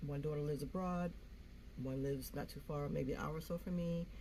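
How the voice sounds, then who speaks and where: Somewhat breathy, a woman's voice carries audible room echo. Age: 60s. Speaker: YouTuber. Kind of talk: casual vlog talk. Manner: free-flowing, halting with fillers.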